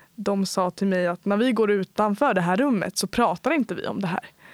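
A woman in an unremarkable speaking voice, medium pitch, ordinary pitch variation, moderate pace, dry, close sound with no echo. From Sweden, Uppland (Bålsta). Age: 20s. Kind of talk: interview. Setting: studio.

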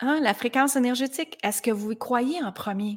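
At a moderate pace, a woman speaks with a plain, everyday voice and ordinary pitch variation. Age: 40s. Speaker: life coach. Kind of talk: motivational monologue.

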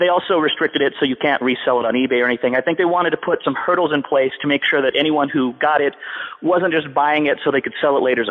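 Against noticeable background noise, a man with a fairly high voice talks very fast with ordinary pitch variation. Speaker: podcast guest. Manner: fast talker.

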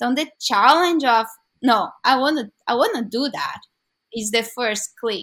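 Speaking with a Brazilian Portuguese accent, a woman uses a fairly high pitch and a bright, sharp tone. She talks at a very slow pace with ordinary pitch variation. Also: very clean recording, silent background. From Brazil, São Paulo. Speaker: curling club organizer. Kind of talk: interview.

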